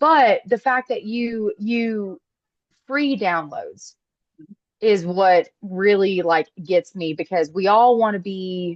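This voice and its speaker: A woman with a Southern US accent speaks at a very slow pace with lively intonation, in a dry, close sound with no echo. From US South. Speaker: call participant, aspiring influencer. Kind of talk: casual chat.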